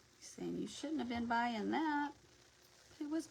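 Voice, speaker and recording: A woman is talking. Background noise is noticeable. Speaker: crafting livestream host. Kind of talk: casual chat.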